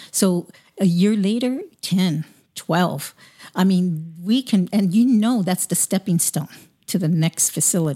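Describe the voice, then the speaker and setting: With an American accent, a woman speaks at a fairly low pitch in a dark, mellow, somewhat breathy tone, with ordinary pitch variation and a dry, close sound free of echo. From US West Coast, Long Beach, California. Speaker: podcast host. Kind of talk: interview.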